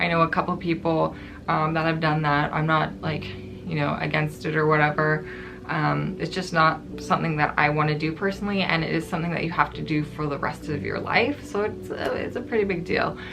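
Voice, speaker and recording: The speech moves at a fairly quick pace. Music plays in the background, and there is audible room echo. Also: woman. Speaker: YouTuber. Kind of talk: casual vlog. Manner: hesitant, many fillers.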